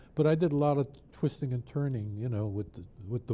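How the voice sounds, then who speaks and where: At a fairly quick pace, the speaker has a dark, mellow tone that is somewhat breathy, with ordinary pitch variation. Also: man. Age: 80s+. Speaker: drummer and music producer. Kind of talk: interview. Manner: hesitant, with many fillers.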